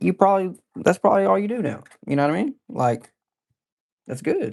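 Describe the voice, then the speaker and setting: The speaker has a Texan accent and a fairly quick pace. The pitch swings very widely. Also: man, high pitch for a man, dry, close sound with no echo. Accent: Texan Southern US. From East Texas. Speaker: live streamer. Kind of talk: casual livestream chat. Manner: animated.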